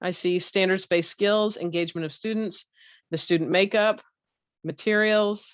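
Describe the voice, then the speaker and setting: A woman's medium-pitched voice with fairly even intonation. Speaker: teacher presenting a workshop. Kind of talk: online teacher training session. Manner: fast.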